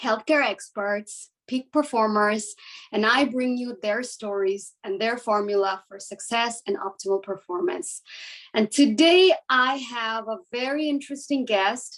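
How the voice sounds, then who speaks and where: A woman with a fairly high pitch has a normal speaking voice. She talks fairly slowly, her pitch varying in an ordinary way. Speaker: medical doctor, podcast host. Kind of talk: podcast intro.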